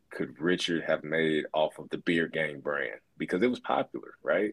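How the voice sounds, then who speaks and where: A man with a Southern US accent, in a very clean recording with a silent background and a dry, close sound with no echo. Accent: Southern American. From US South, northwest Alabama. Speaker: former college basketball player. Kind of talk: casual interview.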